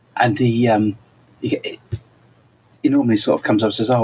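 A man speaks at a very fast pace. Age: 40s. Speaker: podcast co-host. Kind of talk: casual chat. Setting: remote over the internet. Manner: animated.

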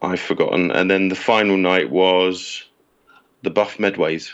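In a British accent, a man speaks at a very deep, low pitch and a very slow pace, with fairly even intonation and long, frequent pauses. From England. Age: 30s. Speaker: writer and publisher, Fugazi fan. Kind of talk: casual interview chat.

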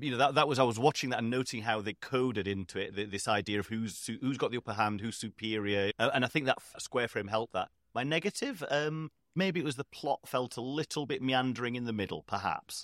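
Speaking with a northern English accent, a man talks at a very fast pace with hardly any pauses, medium pitch and ordinary pitch variation. The sound is dry and close, with no echo. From northern England. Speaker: podcast host. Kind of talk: casual chat.

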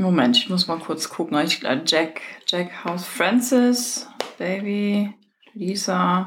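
A woman's medium-pitched voice, lively in intonation, at a very slow pace. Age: 40s. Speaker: podcast host. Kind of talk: casual chat. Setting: at home. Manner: animated.

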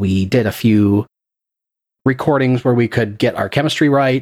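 Recorded very cleanly against a silent background, with a dry, close sound and no echo, a man with a normal speaking voice talks at a moderate pace in a medium pitch with ordinary pitch variation. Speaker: podcast producer and game master. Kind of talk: casual interview chat.

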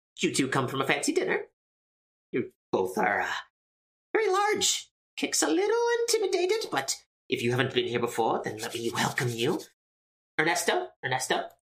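A woman uses a put-on character voice. She speaks at a moderate pace with long, frequent pauses. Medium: actual play. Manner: refers to self in third person.

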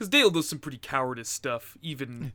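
A man speaks at medium pitch with a bright, sharp tone. The recording is very clean, with a silent background. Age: 20s. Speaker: podcast co-host. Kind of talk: casual chat.

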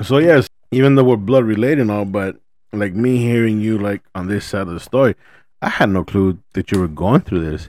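A man speaks at a fairly quick pace in a fairly low pitch, with an unremarkable speaking voice, ordinary pitch variation and a very clean recording over a silent background. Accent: American. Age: 30s. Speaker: podcast host. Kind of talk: casual chat. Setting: studio.

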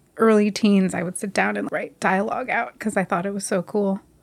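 With an American accent, a woman talks at a very fast pace with fairly even intonation. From New Jersey. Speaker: documentary filmmaker and editor. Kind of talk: casual interview.

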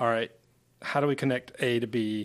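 This man has a plain, everyday voice, medium in pitch, and speaks at a fairly quick pace with fairly even intonation in an American accent. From Asheville, North Carolina. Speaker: branding agency co-founder. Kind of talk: casual interview.

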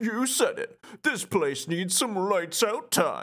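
A put-on character voice with a fairly high pitch moves at a very slow pace in a very clean recording with a silent background.

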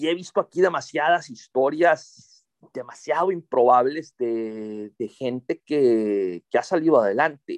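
The speaker uses lively intonation at a fairly slow pace with hardly any pauses, in a dry, close sound with no echo. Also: man, fairly high pitch for a man. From Monterrey, northern Mexico. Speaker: novelist and journalist. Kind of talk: interview. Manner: halting, repeats words.

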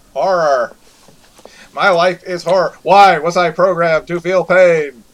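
Putting on a character voice, a man speaks at a high pitch and a fairly slow pace. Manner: lamenting, mock anguish.

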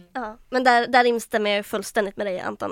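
A woman speaks at a fairly quick pace in a flat monotone. The recording is very clean, with a silent background and a dry, close sound with no echo. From Västernorrland, northern Sweden (Härnösand). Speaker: student union vice chair. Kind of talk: casual chat.

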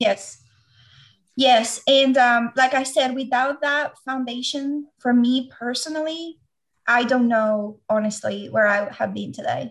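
Speaking with a Venezuelan accent, a woman uses a high pitch. Her pace is fairly slow and her intonation fairly even. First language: Spanish. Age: 40s. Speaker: doctoral candidate and Lyme disease patient. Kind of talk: interview.

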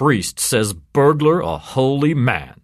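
Putting on a character voice, a man speaks very slowly at a medium pitch with lively intonation. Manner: chortling, mocking.

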